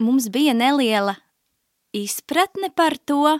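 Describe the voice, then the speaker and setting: The recording of this woman is very clean, with a silent background. Her voice sounds dry and close, with no echo. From Latvia, Riga. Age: 20s. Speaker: ministry school student. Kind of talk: testimony. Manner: halting.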